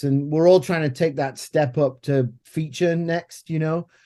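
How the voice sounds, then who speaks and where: With an English accent, a man speaks at a moderate pace in a dark, mellow tone and a monotone, flat intonation. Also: quiet background. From England. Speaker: filmmaker. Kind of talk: podcast interview.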